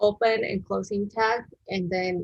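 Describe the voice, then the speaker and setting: Somewhat breathy speech from a woman, delivered at a fairly slow pace. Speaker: web design instructor. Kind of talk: live-streamed coding tutorial. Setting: live stream. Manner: halting, with many fillers.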